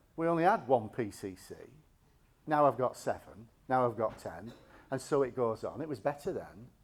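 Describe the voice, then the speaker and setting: An unremarkable speaking voice from a man, medium in pitch, at a moderate pace with lively intonation. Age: 60s. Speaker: bishop. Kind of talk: sermon.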